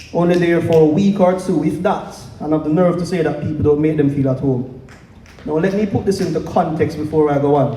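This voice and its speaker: Amid noticeable background noise and audible room echo, a man with a fairly high pitch talks at a fairly quick pace with fairly even intonation. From Jamaica. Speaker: spoken word poet. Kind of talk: casual stage banter; spoken word performance. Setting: stage with audience at open mic night.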